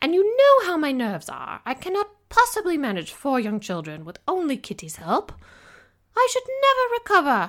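A female-sounding, put-on character voice speaks at a moderate pace. It is shrill, with an extremely high pitch. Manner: shrieking, fretful.

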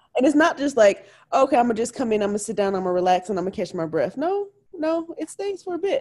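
A woman talks at a very fast pace in a high pitch. Her pitch swings very widely. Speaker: podcast co-host. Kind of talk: casual chat.

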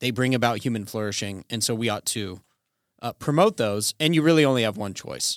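In an unremarkable speaking voice with an American accent, a man of medium pitch talks at a fairly quick pace with lively intonation, the sound dry and close with no echo on a very clean recording with a silent background. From Colorado, US. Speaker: podcast co-host. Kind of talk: casual theological discussion.

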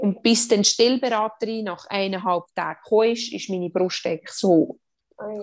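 A woman speaks fairly slowly in a Swiss accent, with ordinary pitch variation. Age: 30s. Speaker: mother sharing birth story, mental trainer. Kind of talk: testimony.

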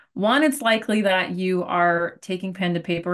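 A woman with a plain, everyday voice talks at a moderate pace and a fairly low pitch, with ordinary pitch variation. Behind her the background is quiet. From Arizona. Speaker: business coach and podcast host. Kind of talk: interview.

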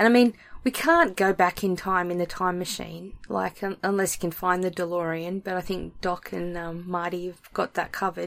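A woman speaks in an Australian accent at a fairly low pitch and moderate pace. Her intonation is monotone and flat, with hardly any pauses. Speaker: podcast host and author. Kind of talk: casual chat; reading aloud.

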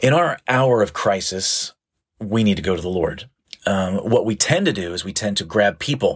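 At a moderate pace, an unremarkable speaking voice talks with lively intonation. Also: man, fairly low pitch for a man. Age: 40s. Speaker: pastor. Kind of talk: sermon. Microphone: new audio equipment failed, audio only.

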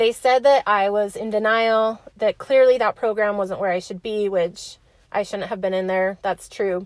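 A woman with an American accent has a normal speaking voice at medium pitch. She speaks at a moderate pace with fairly even intonation in a very clean recording with a silent background. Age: 20s. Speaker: podcast host. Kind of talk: personal storytelling monologue.

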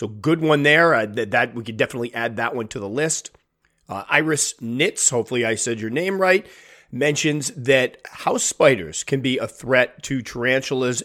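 This is a man at a medium pitch. His intonation is lively. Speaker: tarantula hobbyist YouTuber. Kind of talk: casual chat. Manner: fast talker; casual, chatty.

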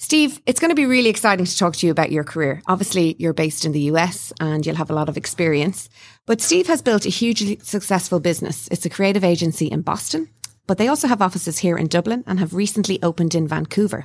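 A woman with an Irish accent, fairly low in pitch, very fast and lively in intonation, on a very clean recording with a silent background. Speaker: podcast host. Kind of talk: interview. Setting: studio.

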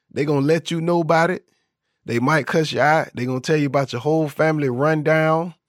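A man with a fairly high voice and a plain, everyday voice. The sound is dry and close with no echo, on a very clean recording with a silent background. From Florida, US South. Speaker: podcast host. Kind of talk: podcast episode breaking down song lyrics. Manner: casual, conversational, upbeat.

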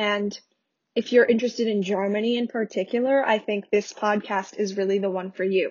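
A woman with a New York accent talks at a fairly quick pace in a medium pitch, her intonation monotone and flat. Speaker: podcast host. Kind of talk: casual solo podcast talk. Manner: fast.

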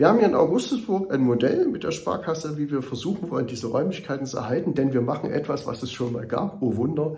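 A man speaks at a fairly quick pace with lively intonation and a dark, mellow, somewhat breathy tone, with audible room echo. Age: 50s. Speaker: mayor and political candidate. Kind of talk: campaign monologue. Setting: studio. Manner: earnest, with filler hesitations.

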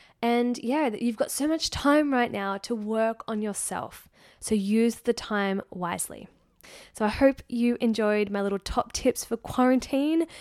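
A woman's normal speaking voice, fairly high-pitched, with ordinary pitch variation, dry and close with no echo, on a very clean recording over a silent background. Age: 30s. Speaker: podcast host, eating psychology coach. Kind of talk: casual solo monologue.

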